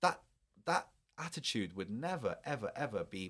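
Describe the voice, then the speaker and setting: A man with a British accent, very wide pitch swings and a moderate pace, in a very clean recording with a silent background. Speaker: journalist and filmmaker. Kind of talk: interview. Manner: halting, many repetitions.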